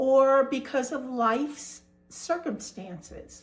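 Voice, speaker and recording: A woman speaks at a very slow pace, with ordinary pitch variation. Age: 70s. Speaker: retired information technology worker. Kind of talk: casual talk to camera.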